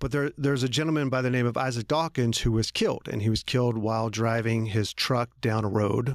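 The sound is dry and close with no echo as the speaker goes at a fairly quick pace with fairly even intonation. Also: man. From Philadelphia area, US. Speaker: criminal defense attorney. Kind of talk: interview conversation.

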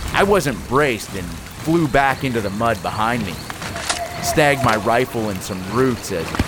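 A man in a dramatic tone at medium pitch and a moderate pace, with lively intonation and noticeable background noise. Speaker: fiction podcast creator and narrator. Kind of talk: scripted first-person war-story narration. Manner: tense, gritty, urgent; vivid, dramatic, action-driven.

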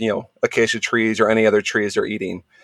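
A man with an American accent, the sound dry and close with no echo. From US West Coast, central coast of California. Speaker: zookeeper and conservation project coordinator. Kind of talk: casual interview.

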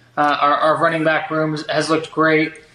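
There is noticeable background noise. A man talks in a fairly high voice. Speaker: podcast co-host, former college basketball player. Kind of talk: casual chat.

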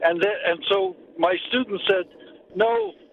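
Against noticeable background noise, a man talks at a very slow pace with a high pitch and ordinary pitch variation. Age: old. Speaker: journalism professor. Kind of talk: interview.

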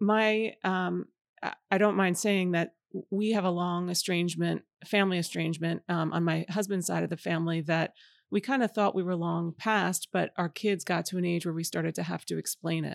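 In an American accent, a woman with a fairly low pitch and fairly even intonation talks at a moderate pace in an ordinary speaking voice, the sound dry and close with no echo on a very clean recording with a silent background. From New York City suburbs. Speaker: novelist. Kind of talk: interview. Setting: bookstore.

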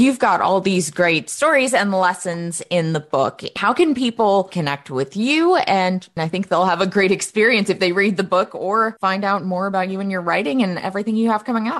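In a normal speaking voice, a woman talks at a moderate pace and medium pitch, with lively intonation and hardly any pauses. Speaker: podcast co-host. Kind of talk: interview and ad reading.

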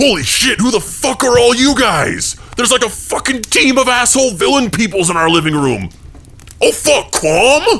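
Putting on a gruff character voice at an extremely high pitch, a man talks at a moderate pace over light background noise. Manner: crude, profane, gruff.

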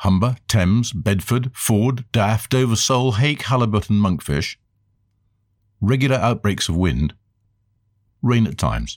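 Speaking with a British accent, a man talks at a fairly slow pace in a medium pitch with ordinary pitch variation, leaving long, frequent pauses. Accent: BBC-style British English. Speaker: eyewitness. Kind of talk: interview. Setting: outdoors.

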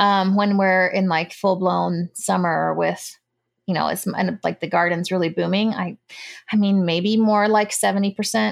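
Against a quiet background, a woman with an ordinary speaking voice talks at a moderate pace and a medium pitch, her intonation fairly even. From United States, Cuban parents. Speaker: homesteader and former nurse. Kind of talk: casual chat.

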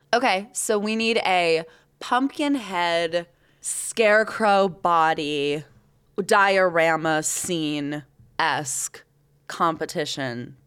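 A woman's fairly low-pitched voice, lively in intonation, at a very slow pace, in a very clean recording with a silent background. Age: 30s. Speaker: local news podcast host. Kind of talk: casual chat.

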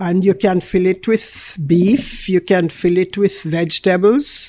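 In a very clean recording with a silent background, a voice with a Jamaican accent and a dark, mellow tone speaks at a very slow pace with fairly even intonation. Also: woman. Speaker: food business owner, guest. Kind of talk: casual interview chat. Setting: radio studio.

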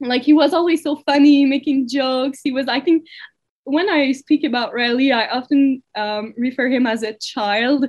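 With a Quebec accent, a woman talks at a moderate pace in a high pitch with ordinary pitch variation. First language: French. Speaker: girlfriend of a man killed by police. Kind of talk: interview. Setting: call. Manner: halting.

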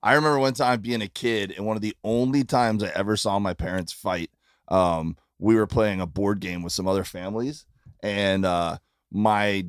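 A man's fairly low voice with a slight Midwestern accent and ordinary pitch variation, very clean and silent in the background, dry and close with no echo. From Florida. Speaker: comedian. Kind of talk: casual chat. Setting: tour bus.

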